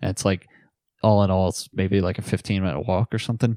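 Fairly even intonation and an East Coast US accent come through a dry, close sound with no echo, in a very clean recording with a silent background. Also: man. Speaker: podcast co-host. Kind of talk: casual chat.

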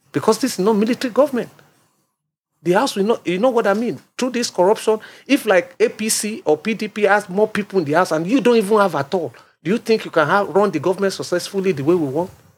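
On a very clean recording with a silent background, a man with a Nigerian accent talks at a very fast pace in a high pitch with lively intonation. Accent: Nigerian (Yoruba) English. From Nigeria, Lagos. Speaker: grassroots politician and political analyst. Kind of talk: panel discussion. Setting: studio.

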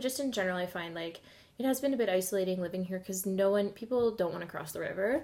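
A woman speaks with a western Canadian accent at a medium pitch. Her tone is dark and mellow, with ordinary pitch variation. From Alberta, Edmonton. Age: 20s. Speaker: podcast guest. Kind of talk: casual chat. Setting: home kitchen table.

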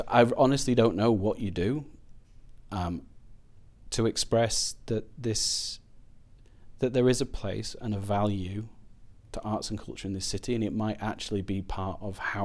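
Fairly low-pitched man with a Glasgow accent, fairly even intonation and long, frequent pauses. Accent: Scottish (Glasgow). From Scotland, Glasgow. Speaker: artist. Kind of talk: casual chat. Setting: studio podcast, holding his own microphone.

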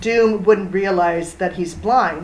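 Audible room echo around a woman's medium-pitched voice, its pitch varying in an ordinary way. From Sweden. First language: Swedish. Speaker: comics blogger. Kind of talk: casual chat. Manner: halting.

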